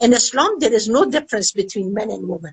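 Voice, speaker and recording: Speaking at a fairly quick pace with an Afghan accent, a woman makes very wide pitch swings in a fairly high voice, the sound dry and close with no echo. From Afghanistan. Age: 70s. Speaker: women's rights activist. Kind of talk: interview.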